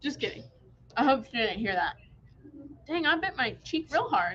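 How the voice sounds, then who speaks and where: In a raised, projected voice with a bright, sharp tone, a woman speaks at a high pitch and moderate pace with very wide pitch swings. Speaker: quilt shop staff, livestream host. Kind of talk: live product showcase stream. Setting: livestream from shop. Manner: animated. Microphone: phone mic with echo.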